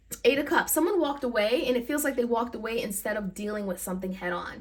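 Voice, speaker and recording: Over noticeable background noise, a woman with a fairly high voice speaks at a very fast pace. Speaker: tarot reader. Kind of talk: tarot reading.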